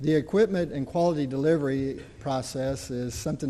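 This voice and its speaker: A man with a southern Indiana accent, a medium pitch and a dark, mellow tone, at a moderate pace with fairly even intonation, amid audible room echo. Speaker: community college dean. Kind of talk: conference presentation. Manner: halting, with frequent fillers.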